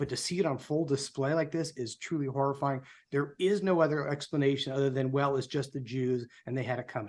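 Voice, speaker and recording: A man talks at a fairly quick pace with hardly any pauses, in an unremarkable speaking voice. His pitch sits fairly high, and his intonation stays fairly even. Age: 60s. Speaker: political group co-founder and show host. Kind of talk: prepared speech on a live show. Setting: live online show. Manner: somber.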